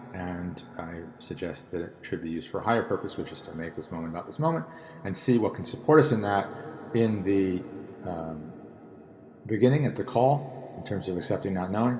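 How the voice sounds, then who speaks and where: A man with a very deep, low pitch talks at a fairly quick pace with lively intonation. His loudness swings widely over noticeable background noise. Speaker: tarot and spirituality teacher. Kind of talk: solo talk on tarot reading. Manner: fast; hesitant with fillers.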